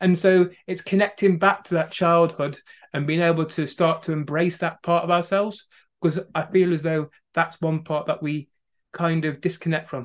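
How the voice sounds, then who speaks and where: In a Staffordshire accent, a man speaks at a moderate pace against a quiet background. His high voice stays monotone and flat. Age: 30s. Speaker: wellbeing coach from a farming family. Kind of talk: podcast interview.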